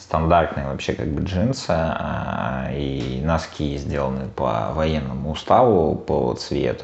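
Noticeable background noise accompanies speech at a very slow pace. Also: man. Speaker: podcast co-host. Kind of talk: casual chat. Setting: recorded in an apartment.

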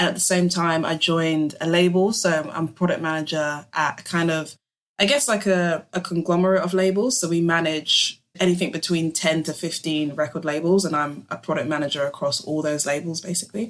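A woman talks at a fairly quick pace with hardly any pauses. Her pitch is fairly low and varies in an ordinary way. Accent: London. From London. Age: 20s. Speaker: music industry artist manager. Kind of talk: podcast interview.

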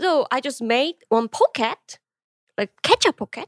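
Lively in intonation but fairly slow, a woman with a Korean accent is heard in a dry, close recording with no echo. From South Korea, Busan. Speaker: streamer and convenience store owner. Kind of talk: casual interview. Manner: halting.

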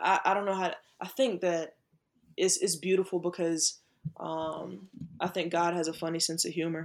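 With an American accent, a woman speaks at a moderate pace and a fairly low pitch, showing vocal fry, fairly even intonation and long, frequent pauses. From US South, South Carolina. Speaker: Air Force service member. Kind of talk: casual interview chat. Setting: video call.

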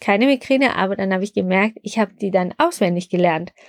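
A woman with lively intonation, in a very clean recording with a silent background and a dry, close sound with no echo. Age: 50s. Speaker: pharmacy podcast host. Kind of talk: personal testimony.

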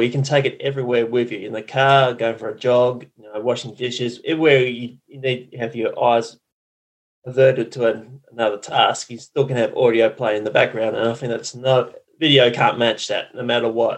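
A man with an Australian accent speaks with big swings in loudness. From Western Australia. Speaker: marketing consultant and podcaster. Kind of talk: interview. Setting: remote call.

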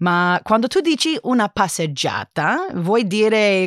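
At a fairly slow pace, a woman speaks in an English accent on a very clean recording with a silent background and a dry, close sound with no echo. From United States. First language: English (speaking Italian). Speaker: linguist, Italian learner. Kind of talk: casual interview. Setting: studio. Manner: halting.

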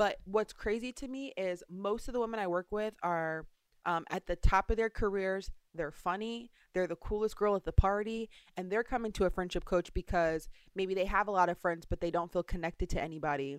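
A woman's normal speaking voice at a medium pitch, with ordinary pitch variation and a fairly quick pace, on a very clean recording with a silent background. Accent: American. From US, suburban. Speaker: friendship expert and author. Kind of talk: interview.

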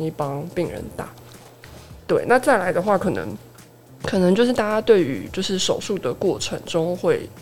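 Noticeable background noise sits behind a woman talking at a fairly quick pace with lively intonation. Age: 30s. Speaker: pharmacist. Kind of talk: casual chat, personal experience.

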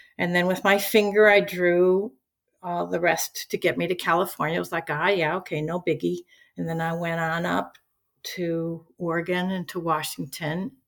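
An ordinary speaking voice from a woman with an American accent, fairly low in pitch, with fairly even intonation and a moderate pace, on a very clean recording with a silent background. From US Midwest, Chicago. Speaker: retired teacher. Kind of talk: casual interview.

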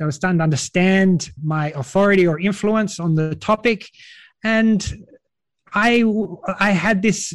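A man with an Australian accent and a high pitch. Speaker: virtual events organizer. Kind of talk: podcast interview. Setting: remote call late at night.

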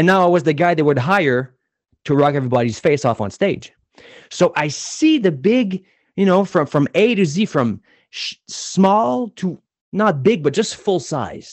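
This man talks at a moderate pace in a high voice. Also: lively intonation. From New Brunswick, Canada. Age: 40s. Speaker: public speaking coach. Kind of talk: interview.

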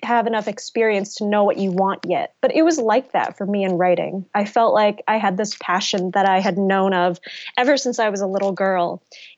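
A normal speaking voice in an American accent, moving at a moderate pace. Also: woman. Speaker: novelist. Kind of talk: interview.

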